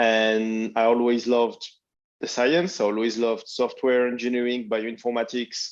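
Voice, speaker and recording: With a French accent, a man speaks at a medium pitch and a moderate pace against a quiet background. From France. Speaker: biotech founder. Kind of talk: panel discussion.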